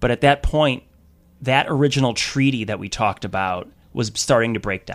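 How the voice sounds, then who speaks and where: A man speaks in an American accent with ordinary pitch variation. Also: very clean recording, silent background. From US Midwest, Wisconsin. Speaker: teachers' union activist. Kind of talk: radio interview. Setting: radio studio.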